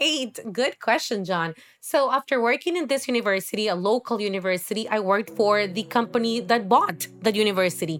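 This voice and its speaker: With music in the background, a woman with a Spanish accent talks at a fairly quick pace with hardly any pauses, her pitch fairly high and her intonation lively. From Honduras. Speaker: course director in education. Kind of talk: interview conversation. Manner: halting, many fillers.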